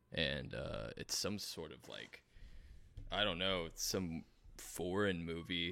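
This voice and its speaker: Speaking at a fairly slow pace, a man shows vocal fry and a bright, sharp tone at a very deep, low pitch. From South Florida. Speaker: musician. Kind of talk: casual chat.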